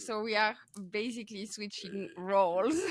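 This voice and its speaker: A woman speaks at a moderate pace with a bright, sharp tone. Her pitch sits fairly high. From France. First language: French. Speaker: podcast host, crochet artist. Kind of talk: casual interview chat. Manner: halting, many fillers.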